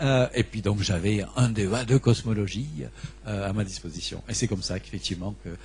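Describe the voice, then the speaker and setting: With a southern French accent, a man speaks at a fairly quick pace in a fairly low pitch, with vocal fry and ordinary pitch variation. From southern France, Vaucluse. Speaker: astrophysicist receiving an award. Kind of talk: acceptance speech. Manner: halting, many repetitions and fillers.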